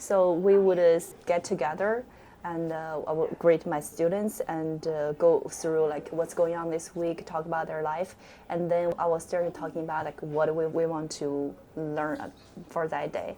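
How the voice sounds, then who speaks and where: In a Chinese accent, a woman talks at a moderate pace with a fairly low pitch, a dark, mellow tone and fairly even intonation. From China. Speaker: teacher, club sponsor. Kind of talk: interview. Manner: halting.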